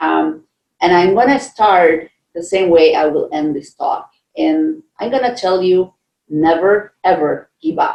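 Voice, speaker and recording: In a Costa Rican accent, a woman speaks at a fairly slow pace. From Costa Rica, San Jose. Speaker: scientist. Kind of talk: keynote speech. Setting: virtual conference.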